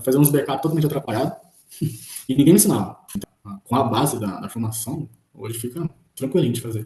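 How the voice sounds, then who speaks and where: With lively intonation, a man speaks at a very fast pace but leaves long, frequent pauses. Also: medium pitch for a man. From Brazil, Ribeirão Preto (São Paulo state). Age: 20s. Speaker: electrical technician, student testimonial. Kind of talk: testimony.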